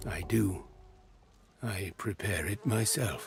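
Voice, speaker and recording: A man puts on a character voice with a fairly low pitch. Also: fairly slow pace. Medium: video game. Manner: broken, simple grammar, formal.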